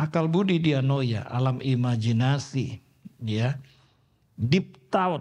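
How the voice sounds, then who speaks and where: Somewhat breathy man's voice at medium pitch, very slow pace, ordinary pitch variation. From Indonesia, Surabaya (East Java). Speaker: pastor. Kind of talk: sermon. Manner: animated.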